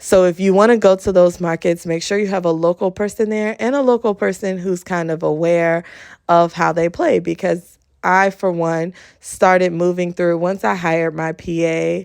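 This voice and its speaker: This woman has an unremarkable speaking voice, fairly low in pitch, with an American accent, ordinary pitch variation and a moderate pace. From US Midwest, Youngstown Ohio. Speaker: podcast host. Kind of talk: casual monologue podcast.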